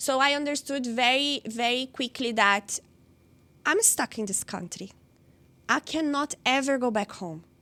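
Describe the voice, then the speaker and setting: In a Brazilian accent, a woman uses a raised, projected voice at a high pitch with ordinary pitch variation. Her pace is fairly slow, with long, frequent pauses. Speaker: interviewee sharing life story. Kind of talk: personal interview. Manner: halting, with fillers and repetitions.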